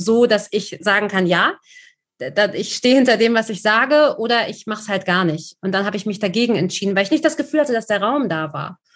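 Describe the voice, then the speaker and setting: Talking at a fairly quick pace, a woman has an unremarkable speaking voice and ordinary pitch variation. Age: 30s. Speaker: journalist. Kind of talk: casual chat.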